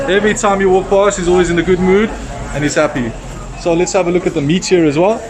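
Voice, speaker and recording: A man talks at a very fast pace and a high pitch. Audible room echo and noticeable background noise surround him. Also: ordinary pitch variation. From South Africa. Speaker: travel vlogger. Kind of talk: casual vlog walkthrough. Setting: outdoor market. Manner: casual, filler-heavy.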